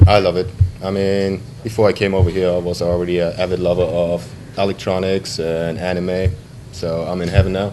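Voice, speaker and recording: A man talks at a fairly quick pace with a very deep, low pitch and monotone, flat intonation. Noticeable background noise is present. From Germany. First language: German. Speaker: navy sailor. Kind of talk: interview.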